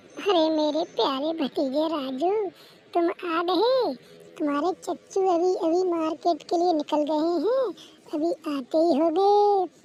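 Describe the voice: A woman does a squeaky, cartoonish character voice at an extremely high pitch, talking at a fairly slow pace with very even loudness. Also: ordinary pitch variation.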